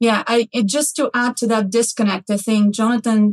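In a dry, close sound with no echo, a woman with a fairly high pitch speaks at a moderate pace, somewhat breathy and with fairly even intonation. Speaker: healthcare executive, podcast host.

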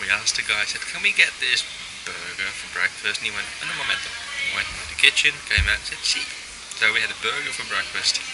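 The speech moves at a fairly quick pace. Loud background noise runs underneath. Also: man. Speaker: traveller vlogger. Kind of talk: casual vlog chat. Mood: cheerful, amused. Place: cafe. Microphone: phone near.

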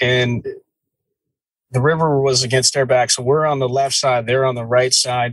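Somewhat breathy, the voice comes with an American accent. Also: man. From New Jersey. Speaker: podcast host. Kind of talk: storytelling.

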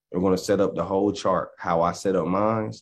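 A man with a Southern US accent speaks at a very deep, low pitch. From US South. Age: 20s. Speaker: options trading educator. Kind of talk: tutorial. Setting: livestream. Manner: animated. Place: home room. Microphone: video call.

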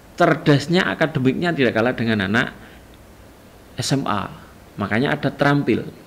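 Lively intonation marks this man's speech at a moderate pace. His pitch sits fairly high. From Jombang, East Java, Indonesia; East Java, Indonesia. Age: 40s. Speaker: teacher, vice principal for curriculum. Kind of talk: school orientation presentation. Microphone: webcam.

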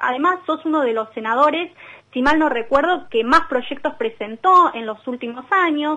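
A woman's high-pitched voice carries ordinary pitch variation at a moderate pace. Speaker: radio co-host. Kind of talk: radio interview.

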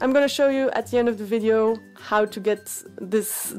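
At a moderate pace, a woman with a non-native accent speaks with fairly even intonation as faint music plays in the background. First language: not English. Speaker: nail art youtuber. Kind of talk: tutorial voiceover. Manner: casual, chatty. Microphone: phone near.

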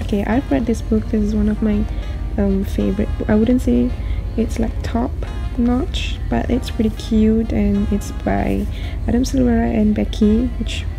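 Clear music sits in the background as a woman speaks at a fairly slow pace. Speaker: bookstore part-timer vlogger. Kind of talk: casual vlog chat. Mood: enthusiastic, excited. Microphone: phone near.

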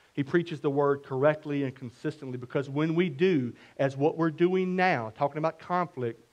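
A man at a moderate pace, pitch varying by ordinary amounts. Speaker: preacher. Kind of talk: sermon. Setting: church. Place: church. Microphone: headset.

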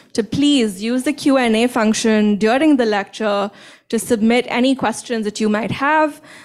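At a fairly slow pace, a woman with a fairly high pitch and an unremarkable speaking voice talks with ordinary pitch variation against a quiet background. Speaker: nuclear engineering professor. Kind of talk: event introduction and moderation. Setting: stage with audience. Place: hall.

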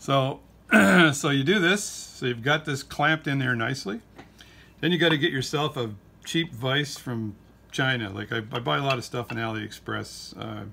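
A man speaks at a moderate pace in a bright, sharp tone with vocal fry. Light background noise can be heard. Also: ordinary pitch variation. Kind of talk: tutorial. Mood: relaxed, humorous. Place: workshop. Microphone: phone near.

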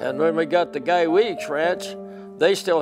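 Clear music is audible behind the voice. The speaker is a man. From British Columbia, Canada. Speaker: interviewee recalling his youth. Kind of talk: interview answer. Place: home room. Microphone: lapel.

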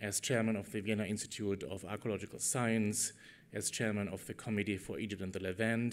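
The speech comes at a fairly quick pace with a monotone, flat intonation. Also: man. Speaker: conference host introducing keynote. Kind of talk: formal introduction speech. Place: hall. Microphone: podium.

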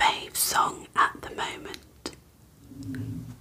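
A woman is whispering. She has a British accent. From Britain. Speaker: ASMR creator. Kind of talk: ASMR tag video, casual talk to camera. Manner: whispered. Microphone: studio mic.

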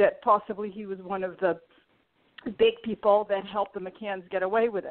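Her pace is moderate and her pitch is medium. The woman's pitch varies in an ordinary way. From Portugal, moved to US as a teenager. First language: Portuguese. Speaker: YouTuber. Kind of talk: interview.

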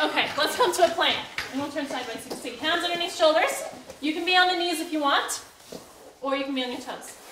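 Over noticeable background noise, a woman speaks fairly quickly in a high pitch. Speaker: fitness instructor. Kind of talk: exercise class instruction. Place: gym.

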